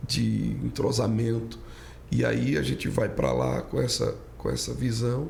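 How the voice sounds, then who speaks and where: In a room with audible echo, a man speaks with a northeastern Brazilian accent. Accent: northeastern Brazilian, kept. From Brazilian Northeast (Pernambuco). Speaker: pastor. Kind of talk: casual chat.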